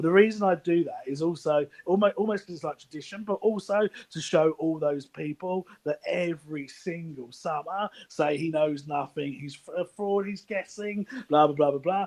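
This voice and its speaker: A man with a high voice speaks at a moderate pace, with ordinary pitch variation. His loudness swings widely, and the sound is dry and close with no echo. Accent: London. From East London, England. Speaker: anonymous football insider. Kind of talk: casual chat.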